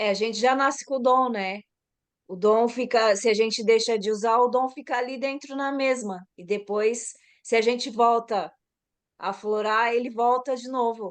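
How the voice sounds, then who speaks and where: A woman's fairly high voice at a moderate pace, fairly even in intonation, with big swings in loudness. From Brazil, São Paulo. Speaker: massage therapist. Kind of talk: casual chat.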